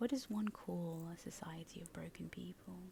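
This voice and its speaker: Soft-spoken, the speaker talks at a fairly slow pace. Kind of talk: ASMR soft-spoken reflective monologue.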